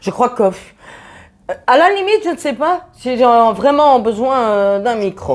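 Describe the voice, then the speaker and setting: A woman speaks at a fairly slow pace in a high voice, her pitch swinging very widely. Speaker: friend testing microphone. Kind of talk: casual chat. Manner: chatty.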